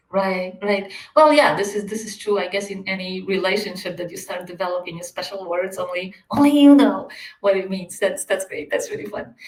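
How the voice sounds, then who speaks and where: This woman speaks with a non-native accent. Her intonation is lively. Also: medium pitch for a woman, fairly quick pace, big swings in loudness. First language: not English. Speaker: podcast host, coaching organization CEO. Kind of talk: interview conversation.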